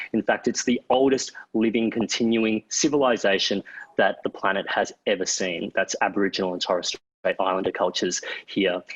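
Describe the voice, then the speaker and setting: This is a man with an Australian accent. His pitch sits in the medium range. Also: ordinary pitch variation, moderate pace, dry, close sound with no echo. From Queensland, Australia. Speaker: author and broadcaster, panel moderator. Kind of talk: panel moderation.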